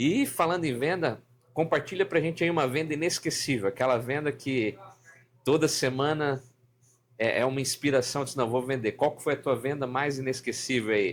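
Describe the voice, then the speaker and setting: A man's normal speaking voice, a normal speaking voice, fairly high-pitched, at a moderate pace with ordinary pitch variation. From Santa Catarina coast, southern Brazil. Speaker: podcast host. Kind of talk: casual chat.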